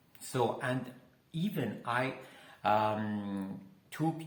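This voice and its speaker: A man's medium-pitched voice with ordinary pitch variation, audible room echo and noticeable background noise. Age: 60s. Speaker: health coach. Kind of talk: personal testimony and health talk. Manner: halting, many fillers.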